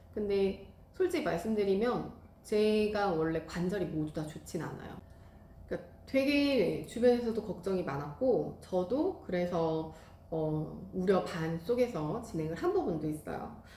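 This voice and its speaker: A woman with a medium-pitched, dark, mellow and somewhat breathy voice speaks at a fairly slow pace with lively intonation, and the room echo is audible. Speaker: rice cake class instructor and YouTuber. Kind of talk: casual vlog talk to viewers.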